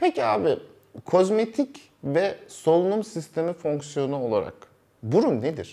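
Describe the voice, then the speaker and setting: The voice has a dark, mellow tone and a fairly slow pace. Its pitch swings very widely. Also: man, high pitch for a man. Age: 30s. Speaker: doctor interviewing surgeons. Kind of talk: interview. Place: studio.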